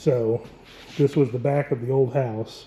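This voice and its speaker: Speaking with an American accent, a man uses a medium pitch and fairly even intonation. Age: 50s. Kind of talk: casual talk to camera, home tour.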